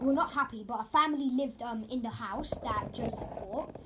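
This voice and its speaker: A woman speaks at a fairly quick pace and high pitch, with ordinary pitch variation. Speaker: roleplay gamer explaining story lore. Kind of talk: casual explanation. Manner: halting, many fillers.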